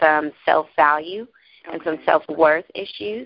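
With ordinary pitch variation, the woman here uses an ordinary speaking voice. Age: 30s. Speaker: makeup artist and motivational author. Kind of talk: interview.

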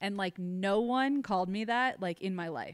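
At a moderate pace, a speaker with a slight Midwestern US accent is heard on a very clean recording with a silent background. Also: woman. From Ohio. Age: 30s. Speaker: social media influencer and real estate broker. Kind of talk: casual interview chat.

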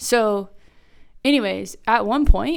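A woman speaks with an American accent at medium pitch, her intonation lively and touched with vocal fry. The recording is very clean, with a silent background. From Kansas. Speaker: math instructional coach. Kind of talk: casual chat.

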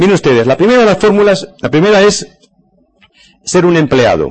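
Pitch swinging very widely, a man with a high voice speaks at a fairly quick pace. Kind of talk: lecture.

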